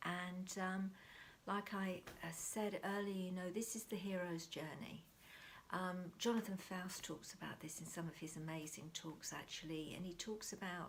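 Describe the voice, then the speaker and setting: Whispering and soft-spoken, a woman talks in a calm tone at a moderate pace. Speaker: mindfulness teacher. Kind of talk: talk to camera on mindfulness. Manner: soft, whispering.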